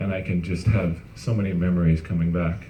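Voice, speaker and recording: Audible room echo follows a man speaking at a fairly slow pace. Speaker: company founder. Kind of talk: testimony.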